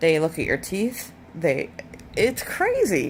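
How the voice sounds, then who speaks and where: Speaking fairly slowly, a woman uses a medium pitch with vocal fry. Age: 40s. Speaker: vlogger. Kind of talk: personal testimony vlog.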